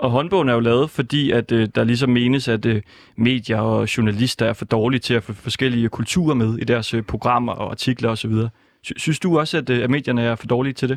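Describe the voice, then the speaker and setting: A man talks in a plain, everyday voice at a medium pitch and a fairly quick pace. His intonation is fairly even, and the sound is dry and close with no echo. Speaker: radio host. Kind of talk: live radio chat. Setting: studio.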